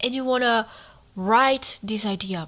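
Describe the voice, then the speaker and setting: A woman's fairly high, bright and sharp voice with a non-native accent and ordinary pitch variation. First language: not English. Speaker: podcaster writing a memoir. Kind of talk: casual monologue. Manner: animated.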